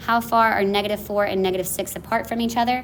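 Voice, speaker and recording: Audible room echo surrounds a woman as she talks. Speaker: math teacher. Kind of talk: lecture. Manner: fast.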